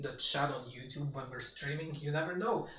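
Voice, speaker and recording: A man with a Polish accent, audible room echo and noticeable background noise. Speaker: gaming streamer. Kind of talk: casual live-stream chat.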